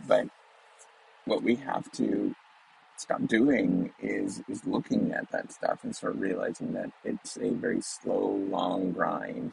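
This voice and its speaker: A man at a very slow pace over noticeable background noise. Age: 40s. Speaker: business professor. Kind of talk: solo educational talk. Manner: hesitant, many fillers.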